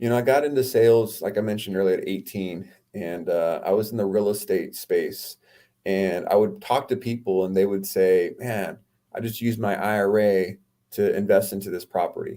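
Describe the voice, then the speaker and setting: With a Californian accent, a man speaks at a moderate pace in a fairly low, dark, mellow voice. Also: fairly even intonation. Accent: Californian American. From US West Coast, Oceanside California. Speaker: entrepreneur and author. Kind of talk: podcast interview.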